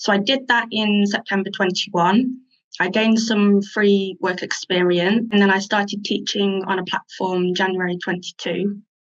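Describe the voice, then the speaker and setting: At a moderate pace, a woman with an English accent speaks at medium pitch, keeping her intonation fairly even and her loudness very even. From England. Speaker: teacher and online store owner. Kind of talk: interview.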